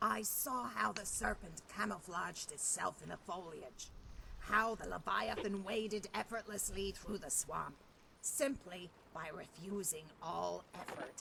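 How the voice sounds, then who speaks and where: Clear background noise sits under a put-on character voice at a middle pitch and a fairly slow pace. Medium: video game. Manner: dry, sardonic.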